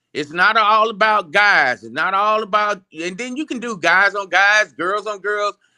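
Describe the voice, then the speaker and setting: On a very clean recording with a silent background, a man with an American accent projects a raised, high-pitched voice with a bright, sharp tone. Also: dry, close sound with no echo. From Phoenix, Arizona. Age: 60s. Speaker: sport inventor and promoter. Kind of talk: casual interview. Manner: animated.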